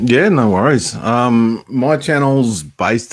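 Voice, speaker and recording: An Australian accent comes through here. The voice belongs to a man. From Australia, near Melbourne. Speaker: homesteading YouTuber, knife maker. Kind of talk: casual chat.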